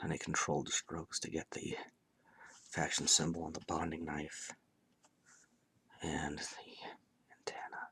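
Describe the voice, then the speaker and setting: Whispering, a man speaks at a fairly slow pace. He leaves long, frequent pauses. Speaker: miniature painter. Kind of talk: tutorial.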